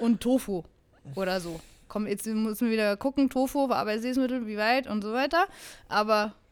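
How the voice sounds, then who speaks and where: With long, frequent pauses, a woman talks at a moderate pace in a fairly high pitch and ordinary pitch variation, recorded very cleanly against a silent background. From Bavaria. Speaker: fitness podcast co-host. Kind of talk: casual chat.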